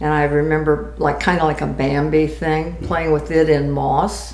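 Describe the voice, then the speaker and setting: A woman talks at a fairly slow pace in a room with audible echo. Noticeable background noise runs underneath. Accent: American. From Florida, Tampa. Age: 80s+. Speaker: grandmother telling life story. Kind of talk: oral history interview.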